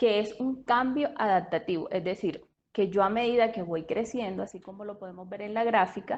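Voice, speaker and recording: A woman talks at a moderate pace with a strong Colombian Caribbean accent. Her pitch is fairly high, and the background is quiet. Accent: Colombian coastal (costeño), strong. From Colombian Caribbean coast (Sincelejo, Sucre). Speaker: speech therapist. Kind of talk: lecture.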